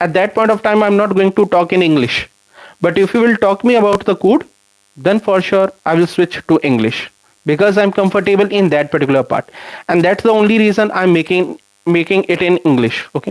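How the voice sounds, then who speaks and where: Recorded very clean with a silent background and a dry, close sound with no echo, a man speaks at a high pitch with an Indian accent, ordinary pitch variation and very even loudness. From India, Punjab/Chandigarh area. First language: Hindi. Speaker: software developer and YouTube educator. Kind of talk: live stream Q&A with chat. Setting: live stream. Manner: conversational, with fillers.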